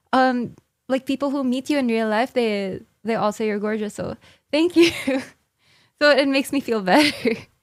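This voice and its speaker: Using long, frequent pauses, a woman speaks at a high pitch. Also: ordinary pitch variation, moderate pace. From Philippines. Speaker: streamer. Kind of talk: casual chat.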